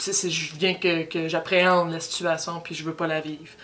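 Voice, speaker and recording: Moderate pace in a Quebec accent. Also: woman. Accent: Québécois French. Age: 20s. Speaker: university student. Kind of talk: personal testimony. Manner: halting, many repetitions.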